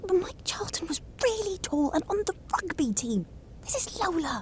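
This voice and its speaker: Over clear background noise, a put-on character voice with an extremely high pitch and a gentle tone moves at a moderate pace. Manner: concerned, gentle.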